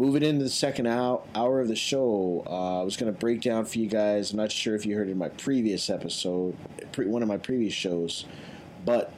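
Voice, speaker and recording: A man talks at a medium pitch in a plain, everyday voice. His intonation stays fairly even. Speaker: radio host, DJ. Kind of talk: casual radio show chat. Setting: radio studio, interviewing guest by video call. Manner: casual, filler-heavy, laid-back.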